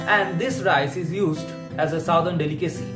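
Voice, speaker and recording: Music plays in the background. The speaker keeps a moderate pace. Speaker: food video creator. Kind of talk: food list narration read from script.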